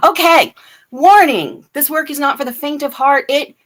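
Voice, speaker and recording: A woman speaks loudly. Her tone is animated. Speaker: spiritual livestream host. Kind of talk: spiritual talk with guided reflection. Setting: live stream.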